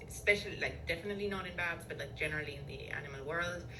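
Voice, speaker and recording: Female speech with noticeable background noise and audible echo from the room. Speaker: neuroscience professor. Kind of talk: interview. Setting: podcast interview. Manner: hesitant, many fillers.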